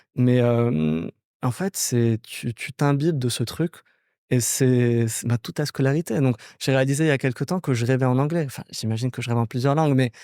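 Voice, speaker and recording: A man's dark, mellow tone at medium pitch, with ordinary pitch variation and a moderate pace, in a dry, close sound with no echo and a very clean recording with a silent background. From Morocco, Casablanca. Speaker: startup founder. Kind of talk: podcast interview.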